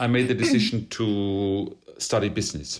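At a moderate pace, a man with a German accent speaks in a very clean recording with a silent background. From Germany, Bavaria (Regensburg). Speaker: classical baritone singer. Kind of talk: interview conversation.

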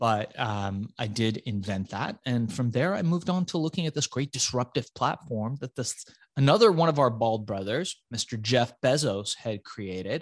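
At a moderate pace and with hardly any pauses, a man speaks in a medium pitch with lively intonation, the sound dry and close with no echo. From Iran, raised in the United States. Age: 40s. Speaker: entrepreneur. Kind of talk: interview storytelling. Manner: intense; animated.

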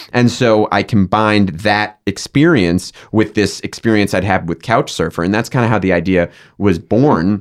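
A man's fairly low voice at a moderate pace, with hardly any pauses, ordinary pitch variation and a very clean recording over a silent background. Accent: American. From Massachusetts, Boston suburbs. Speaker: tech startup founder. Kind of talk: interview. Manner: halting.

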